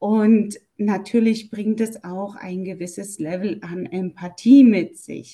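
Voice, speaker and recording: Very slowly, a woman speaks. Her voice has a dark, mellow tone. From Germany. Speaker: German language teacher. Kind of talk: interview.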